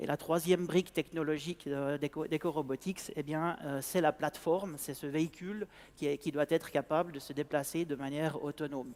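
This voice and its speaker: With hardly any pauses, a man talks at a fairly quick pace and fairly high pitch in a dry, close sound with no echo. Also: fairly even intonation. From Switzerland. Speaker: sales manager of an agricultural robotics company. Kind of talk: conference talk. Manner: halting, many hesitations and repetitions.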